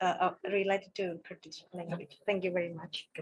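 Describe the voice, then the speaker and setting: This is a woman speaking with an Indonesian accent. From Java, Indonesia. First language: Javanese. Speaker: audience member asking question. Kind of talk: audience question.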